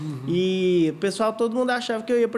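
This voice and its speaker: High pitch for a man, with ordinary pitch variation. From Goiânia, central-west Brazil. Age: 20s. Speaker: paralympic athlete and nutritionist. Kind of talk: casual interview. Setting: studio.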